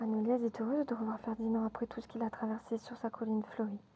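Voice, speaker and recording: A woman whispering in a soothing tone at a moderate pace, with noticeable background noise. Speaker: ASMR storyteller. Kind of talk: children's bedtime story reading. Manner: whispered, soothing.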